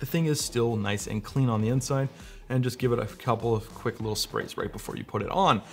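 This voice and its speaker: Faint music plays behind the speaker. A man talks at a very fast pace. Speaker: presenter. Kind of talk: tutorial. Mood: light, joking. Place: studio.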